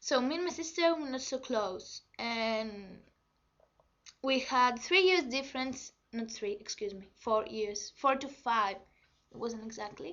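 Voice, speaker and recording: In a Greek accent, a woman speaks with a high pitch and lively intonation. Her pace is fairly slow. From Greece. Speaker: vlogger. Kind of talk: personal testimony. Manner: halting.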